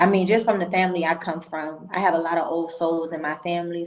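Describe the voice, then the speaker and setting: A woman talks at a fairly quick pace in a fairly low pitch, her intonation monotone and flat, with noticeable background noise behind her. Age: 20s. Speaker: entrepreneur. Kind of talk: interview.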